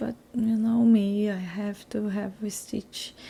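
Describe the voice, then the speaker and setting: With a non-native accent, a woman speaks in a dark, mellow tone and fairly even intonation. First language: not English. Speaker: scrapbooking crafter. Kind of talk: crafting process voiceover. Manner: halting, with fillers.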